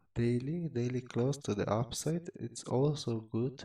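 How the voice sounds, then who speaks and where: The voice is quiet, with a dark, mellow tone. It moves at a fairly slow pace with ordinary pitch variation. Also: man. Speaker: crypto trader and market commentator. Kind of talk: chart analysis tutorial. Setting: at home, late at night. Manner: quiet, keeping voice down; halting, many fillers and repeats.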